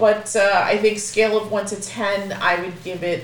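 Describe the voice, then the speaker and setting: This woman talks at a moderate pace with ordinary pitch variation, while noticeable background noise sounds behind her. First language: Spanish. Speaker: podcast co-host, movie reviewer. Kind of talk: casual chat.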